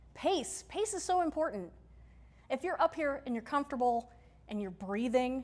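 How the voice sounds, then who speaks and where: A loud woman speaks at a moderate pace in a high voice, with an animated tone, very wide pitch swings and long, frequent pauses. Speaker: workshop presenter and teacher. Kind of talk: lecture. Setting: stage with audience. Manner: projects loudly.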